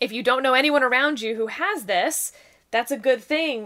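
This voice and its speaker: A woman's high-pitched voice, bright and sharp in tone, with an American accent. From Texas, rural. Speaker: political commentator. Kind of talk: casual chat.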